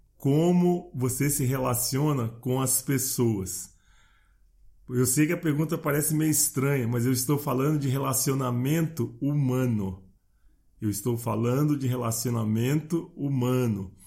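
The man has a medium pitch and a somewhat breathy voice, with ordinary pitch variation. He keeps a very even loudness at a fairly slow pace. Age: 60s. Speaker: podcast host, personal development coach. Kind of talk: motivational monologue.

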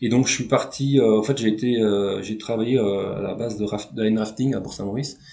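Audible room echo surrounds a man with a medium pitch. He speaks at a fairly quick pace with fairly even intonation. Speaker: former canoe slalom champion. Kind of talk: interview. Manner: halting, many fillers.

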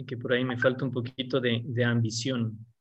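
A medium-pitched male voice at a moderate pace. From Ecuador, Quito. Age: 40s. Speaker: mechanical engineer and construction business owner. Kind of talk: interview.

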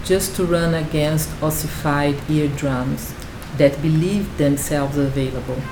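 A woman's very deep, low voice at a fairly slow pace, fairly even in intonation, with music in the background. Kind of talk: poetry reading, spoken-word poem delivered in English then Portuguese. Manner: contemplative, measured, intimate.

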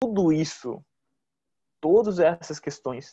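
Here a man with a southern Brazilian accent speaks at a high pitch. His tone is dark and mellow. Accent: southern Brazilian (gaúcho) Portuguese. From Rio Grande do Sul, Brazil (Novo Hamburgo). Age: 30s. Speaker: food engineer and brewer. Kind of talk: casual interview.

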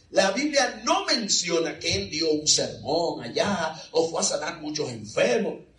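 Amid noticeable background noise, a man talks at a fairly slow pace with very wide pitch swings. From Dominican Republic. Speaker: preacher. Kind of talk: sermon. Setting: church with congregation.

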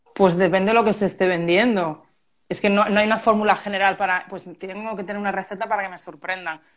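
This woman's delivery is very fast, with a flat, monotone intonation at a medium pitch. Her loudness swings widely from moment to moment. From Málaga, Andalusia, Spain. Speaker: copywriter. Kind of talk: casual chat.

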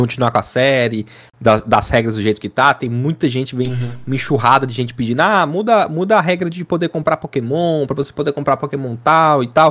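An ordinary speaking voice moves along at a fairly quick pace. The sound is dry and close, with no echo. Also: man. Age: 20s. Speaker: gaming content creator. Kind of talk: casual chat.

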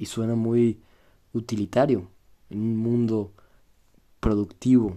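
A man with a Mexican accent speaks fairly slowly in a fairly low voice with a dark, mellow tone. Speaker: podcaster. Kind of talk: solo monologue, reflective. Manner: casual, conversational.

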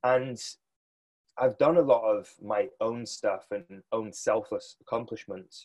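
A man talks in a British accent. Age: 30s. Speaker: business coach for fitness professionals. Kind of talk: casual interview. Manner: animated.

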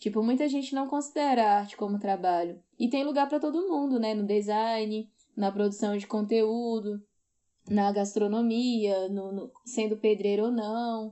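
A woman speaks at a fairly slow pace with ordinary pitch variation. Her pitch is fairly high, and she has a normal speaking voice. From Brazil, Ceará (Northeast). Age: 30s. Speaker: activist and podcaster. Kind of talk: casual chat.

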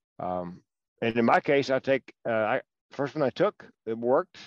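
A man with a Southern US accent speaks at medium pitch. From North Carolina. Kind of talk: casual political interview chat. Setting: phone call.

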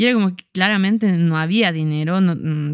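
An unremarkable speaking voice at a moderate pace, with fairly even intonation, in a very clean recording with a silent background. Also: woman. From Bolivia, Cochabamba. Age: 30s. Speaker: fashion designer. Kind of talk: casual chat.

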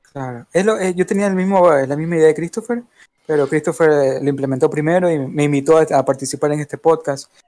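A man talks at a fairly quick pace. His pitch is fairly high, with a dark, mellow tone. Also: ordinary pitch variation. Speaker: podcast co-host and event organizer. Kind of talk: casual chat. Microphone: too quiet on stream.

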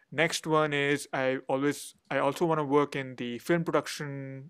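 With an Indian accent, a man talks in a fairly high voice with fairly even intonation. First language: Hindi. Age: 20s. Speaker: education company founder. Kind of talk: interview. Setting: remote call. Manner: halting.

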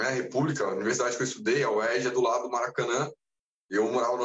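This man speaks at a very fast pace. His pitch is medium and his intonation fairly even. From Brazil, interior of São Paulo state. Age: 30s. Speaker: university professor and amateur triathlete. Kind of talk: casual interview chat.

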